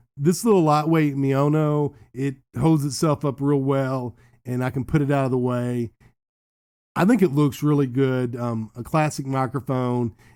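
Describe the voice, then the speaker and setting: A man's fairly high-pitched voice, dark and mellow in tone, with fairly even intonation and a fairly slow pace. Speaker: gaming streamer and tech reviewer. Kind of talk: product review. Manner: loud; casual, with filler ums.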